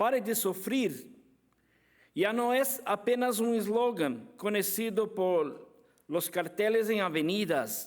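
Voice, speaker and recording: A man speaks very slowly with a Brazilian accent, his pitch high and his loudness very even. His pitch varies in an ordinary way. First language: Portuguese (speaking Spanish). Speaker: apologetics speaker. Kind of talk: conference lecture. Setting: conference with audience. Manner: halting.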